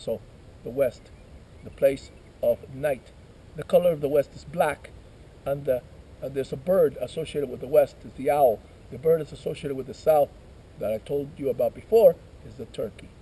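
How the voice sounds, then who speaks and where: Pausing long and often, a man speaks at a moderate pace with big swings in loudness. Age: 50s. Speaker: shamanic ceremony leader. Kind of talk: ceremonial teaching. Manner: conversational.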